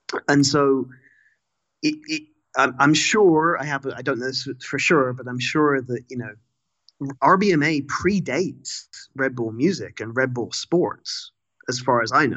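Taking long, frequent pauses, a man speaks fairly slowly at a fairly high pitch with ordinary pitch variation. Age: 30s. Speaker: music writer and lecturer. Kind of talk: casual interview chat. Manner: halting, many repetitions.

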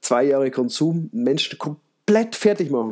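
The man's voice has a dark, mellow tone and very wide pitch swings. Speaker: podcast host. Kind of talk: casual chat.

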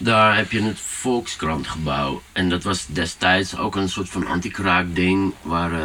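This man has a very deep, low voice with ordinary pitch variation and speaks at a very slow pace. He hardly pauses, and there is noticeable background noise. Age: 40s. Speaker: DJ and music producer. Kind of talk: casual chat. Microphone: poorer sound quality.

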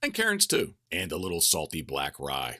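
In a very clean recording with a silent background and a dry, close sound with no echo, a man with an American accent talks at a moderate pace in a bright, sharp, animated tone with vocal fry. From Maryland Eastern Shore. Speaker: hunting guide and podcast host. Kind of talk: casual monologue.

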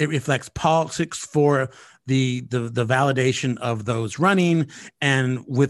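A man with an American accent speaks at a moderate pace in a plain, everyday voice, his medium pitch rising and falling with lively intonation over a quiet background. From California. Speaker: podcast host. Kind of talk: casual political discussion.

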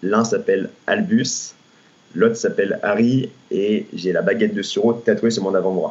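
A man at a fairly slow pace. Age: 20s. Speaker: personal trainer. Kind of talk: podcast interview. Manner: hesitant, many fillers.

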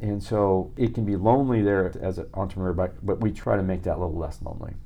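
With an American accent, a man talks at a fairly quick pace in an ordinary speaking voice. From central Illinois. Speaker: venture capitalist. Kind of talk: interview.

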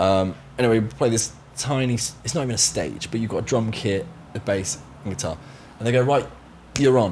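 At medium pitch, a man speaks in a somewhat breathy voice at a fairly quick pace, with ordinary pitch variation and long, frequent pauses. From Somerset, England. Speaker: session drummer. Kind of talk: casual interview chat.

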